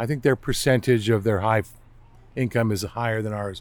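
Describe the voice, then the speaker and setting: Using a plain, everyday voice, the man keeps a medium pitch, fairly even intonation and a moderate speed. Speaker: retired intelligence analyst, zoo train conductor. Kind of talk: casual interview.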